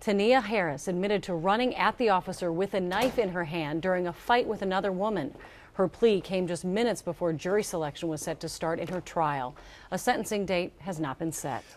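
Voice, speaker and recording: A woman at a fairly quick pace, with ordinary pitch variation and light background noise. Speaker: news anchor. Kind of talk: newsreading. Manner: formal, steady. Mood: calm, serious. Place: studio. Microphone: lapel.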